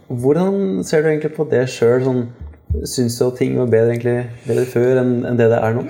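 At a fairly quick pace, this voice holds very even loudness with ordinary pitch variation, heard with audible room echo. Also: man, medium pitch for a man. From Kongsberg, Norway. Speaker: podcast host. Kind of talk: interview.

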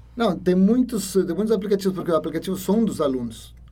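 With a Spanish accent, a man races along at a very fast pace, his high pitch carrying a dark, mellow tone. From Ecuador. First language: Spanish (speaking Portuguese). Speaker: university lecturer. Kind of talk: interview.

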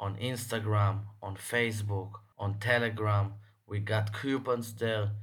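A man speaks at a fairly slow pace in a fairly low, somewhat breathy voice. His intonation is monotone and flat, and room echo is audible. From Israel. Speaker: sports betting tipster podcaster. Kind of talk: solo podcast monologue. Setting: home recording.

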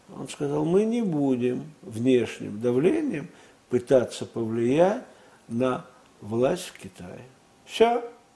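A man talks very slowly at a medium pitch, leaving long, frequent pauses. His pitch swings very widely and his loudness swings a lot, with noticeable background noise behind him. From Russia. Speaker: former intelligence agency chief. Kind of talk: interview. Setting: studio.

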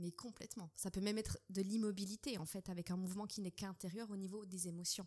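Her tone is dark and mellow, and she is somewhat breathy at a medium pitch. The woman talks at a very fast pace with fairly even intonation. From Switzerland. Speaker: dance teacher and doula. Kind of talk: interview. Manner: hesitant.

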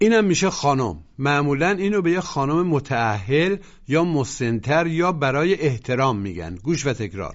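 A man's fairly high pitch with very wide pitch swings, at a moderate pace with hardly any pauses. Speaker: language course narrator. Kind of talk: scripted language lesson instruction.

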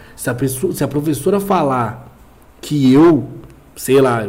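At a fairly slow pace, a man with a fairly high pitch talks with lively intonation in a room with audible echo. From Brazil, São Paulo East Zone. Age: 20s. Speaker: podcast co-host. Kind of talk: casual chat.

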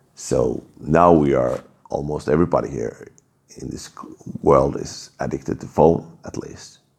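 Speaking at a fairly slow pace, a man with a very deep, low pitch uses fairly even intonation and vocal fry. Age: 30s. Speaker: podcast host. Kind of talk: personal monologue. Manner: halting, many restarts.

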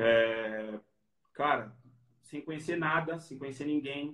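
This man has an unremarkable speaking voice at a medium pitch, with fairly even intonation. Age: 30s. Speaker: physical education professional. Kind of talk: interview. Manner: casual.

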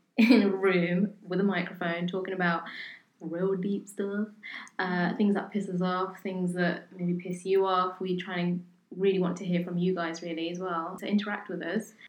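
This is a woman with a British accent. Her pitch sits in the medium range. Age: 20s. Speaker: podcast co-host. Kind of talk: casual chat.

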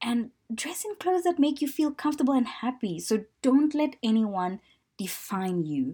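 A somewhat breathy woman speaks at a fairly slow pace with very wide pitch swings. The recording is very clean, with a silent background. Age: 30s. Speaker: lifestyle podcast host. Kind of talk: personal monologue podcast.

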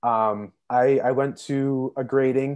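The voice has a Canadian accent and a monotone, flat intonation over a quiet background. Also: man. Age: 20s. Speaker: social services caseworker. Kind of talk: casual interview.

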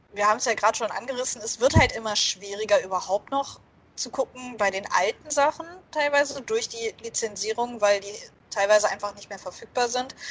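A woman speaks in a normal speaking voice, fairly high-pitched, with ordinary pitch variation. She talks at a fairly quick pace, and her loudness swings widely. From Germany. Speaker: podcast co-host. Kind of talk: casual chat.

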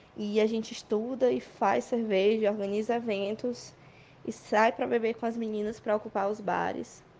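A plain, everyday voice at a moderate pace with fairly even intonation. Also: woman, fairly high pitch for a woman. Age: 20s. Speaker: beer sommelier. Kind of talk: voice message testimony.

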